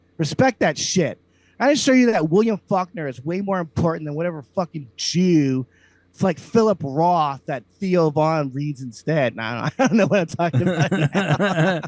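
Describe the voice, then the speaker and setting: In a dry, close sound with no echo, a man with a high pitch speaks at a moderate pace in an animated tone with lively intonation. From US South, Slidell, Louisiana. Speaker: comedian, podcast co-host. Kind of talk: comedic rant in casual chat. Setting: video call.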